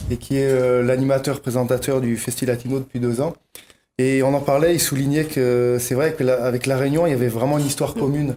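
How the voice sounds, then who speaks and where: A man talks at a fairly quick pace and medium pitch, his dark, mellow tone delivered with monotone, flat intonation and very even loudness. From mainland France. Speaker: festival organizer and musician. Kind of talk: TV talk show interview. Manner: halting.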